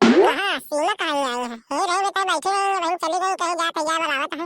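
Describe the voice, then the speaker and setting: In a squeaky, cartoonish character voice, a woman speaks at an extremely high pitch and a fairly quick pace. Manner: scolding, rustic.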